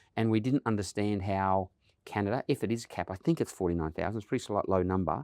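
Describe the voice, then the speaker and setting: A man's fairly low voice in an Australian accent, very fast, with ordinary pitch variation and a quiet background. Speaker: automotive industry association CEO. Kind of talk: podcast interview.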